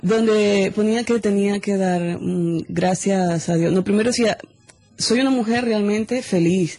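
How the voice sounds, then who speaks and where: A somewhat breathy woman's voice of medium pitch and dark, mellow tone, fairly slow in pace, with ordinary pitch variation and very even loudness. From Venezuela. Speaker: singer. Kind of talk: casual interview chat. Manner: animated, halting with repetitions.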